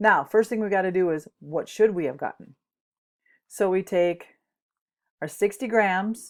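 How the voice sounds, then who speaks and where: On a very clean recording with a silent background, a woman at medium pitch speaks with ordinary pitch variation and long, frequent pauses. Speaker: chemistry teacher. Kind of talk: lecture. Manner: fast.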